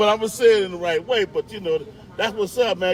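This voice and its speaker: A man speaks at a high pitch with noticeable background noise. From Chicago. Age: 60s. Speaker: retired former football player. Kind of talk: casual chat.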